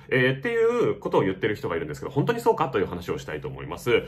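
A man races along at a very fast pace while noticeable noise fills the background. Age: 30s. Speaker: YouTube film reviewer. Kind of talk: unscripted monologue commentary. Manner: halting, many fillers.

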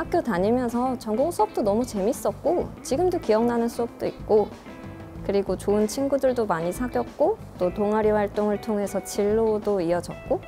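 Over clear music in the background, a woman speaks at a moderate pace with lively intonation. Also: fairly high pitch for a woman. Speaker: voice actor. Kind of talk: interview answer. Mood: warm, smiling. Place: classroom.

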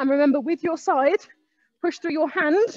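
A woman speaks at a fairly slow pace with ordinary pitch variation. The sound is dry with no echo, and the background is quiet. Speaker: fitness instructor. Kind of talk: workout class instruction. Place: gym. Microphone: headset.

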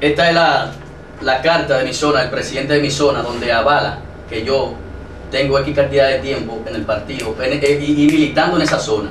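There is audible room echo and light background noise as a man with a fairly high pitch talks at a fairly quick pace with fairly even intonation. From Dominican Republic, Santo Domingo. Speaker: local political candidate. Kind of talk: TV interview. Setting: studio. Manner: halting. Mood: defensive, arguing his case. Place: studio.

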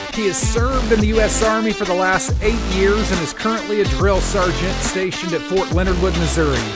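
A man at a fairly quick pace, hardly any pauses, loud music in the background. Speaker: podcast host. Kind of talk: podcast interview questions. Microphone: studio mic.

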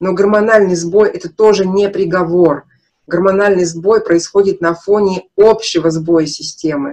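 The voice has a dark, mellow tone and ordinary pitch variation, moving at a fairly slow pace over a quiet background. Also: woman. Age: 50s. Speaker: nutrition consultant, naturopathy student; naturopath webinar host. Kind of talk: webinar lecture with sales pitch. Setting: live online broadcast. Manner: animated. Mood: frank, emphatic, personal. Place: home room. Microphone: webcam.

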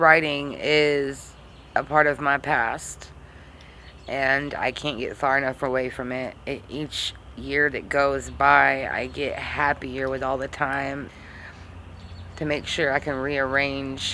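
A woman with a very deep, low pitch speaks at a very slow pace in a monotone, flat intonation over light background noise. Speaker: vlogger reciting her own poem. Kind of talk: casual talk to camera. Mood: earnest, reflective. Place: home room. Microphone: phone near.

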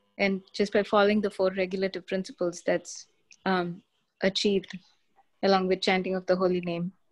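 A woman speaks at a fairly quick pace against a quiet background. Her medium-pitched voice stays monotone, with flat intonation. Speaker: participant in online class. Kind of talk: class discussion. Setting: video call. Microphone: video call.

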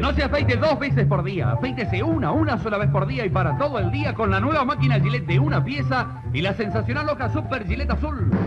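Over loud music in the background, a man talks at a very fast pace with hardly any pauses. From Argentina. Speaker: commercial announcer. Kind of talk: vintage radio commercial announcer read. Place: studio. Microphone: old recording.

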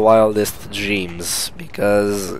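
The speaker is a man. Noticeable background noise runs through the clip. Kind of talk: gameplay commentary. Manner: casual.

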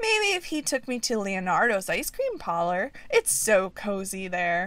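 A put-on character voice at a moderate pace. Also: woman, fairly high pitch for a woman.

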